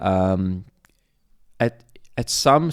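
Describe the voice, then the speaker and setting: A man speaks with a South African accent on a very clean recording with a silent background. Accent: Afrikaans South African English. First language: Afrikaans. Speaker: former reality show contestant and realtor. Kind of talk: podcast interview.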